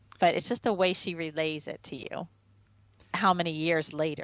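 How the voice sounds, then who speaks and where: Speaking at a moderate pace, a woman has an unremarkable speaking voice, fairly low in pitch, with ordinary pitch variation. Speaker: personality typology video host. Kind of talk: casual video commentary.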